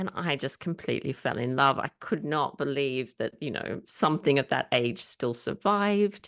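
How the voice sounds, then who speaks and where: A woman's very deep, low voice with vocal fry, dry and close with no echo, against a quiet background. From Australia, Sydney. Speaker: historian and author. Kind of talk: interview.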